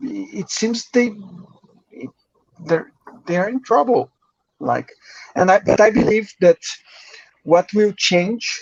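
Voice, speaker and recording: In a Brazilian accent, a man speaks very slowly with long, frequent pauses, the sound dry and close with no echo. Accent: Brazilian Portuguese accent, rusty English. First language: Portuguese. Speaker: crypto journalist. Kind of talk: podcast interview. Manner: halting.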